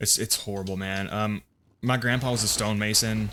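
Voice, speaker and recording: Speaking at a fairly quick pace, a man with a fairly low pitch has a slight Southern US accent. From US South (Appalachia, Bible Belt). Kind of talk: casual gameplay commentary. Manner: casual, hesitant with repetitions.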